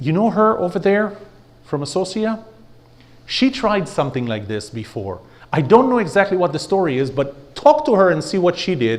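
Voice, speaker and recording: Over noticeable background noise and audible room echo, a man with a high voice speaks at a moderate pace, his pitch swinging very widely. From Israel. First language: Hebrew. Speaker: speaker and trainer. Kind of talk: workshop lecture.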